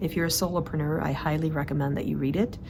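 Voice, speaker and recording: A woman speaks with noticeable background noise behind her. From Sweden. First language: Swedish. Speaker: organizing and productivity coach. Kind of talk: monthly vlog report. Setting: outdoors in the mountains. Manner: casual, filler-heavy.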